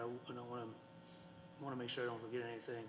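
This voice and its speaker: The intonation is monotone and flat. Room echo is audible. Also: man. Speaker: school board member. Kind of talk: farewell tribute speech at public meeting. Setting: school board meeting with audience. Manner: halting, many fillers.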